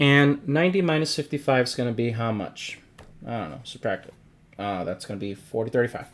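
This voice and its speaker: A man with a normal speaking voice talks at a fairly quick pace, his medium pitch carrying lively intonation. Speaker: math teacher. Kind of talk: lecture.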